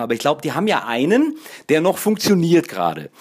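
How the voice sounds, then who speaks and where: A man talks with lively intonation. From northern Germany, Kiel. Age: 40s. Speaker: podcaster. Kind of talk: casual monologue. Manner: halting, filler-heavy.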